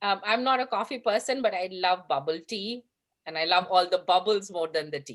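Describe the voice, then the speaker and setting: With a Bengali accent, a woman speaks fairly quickly at a medium pitch, her intonation lively. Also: big swings in loudness. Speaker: panelist. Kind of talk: panel discussion.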